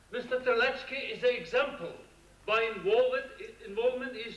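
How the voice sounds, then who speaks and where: An extremely high-pitched male voice at a moderate pace, with lively intonation and audible room echo. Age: 60s. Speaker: audience member. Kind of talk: conference floor question.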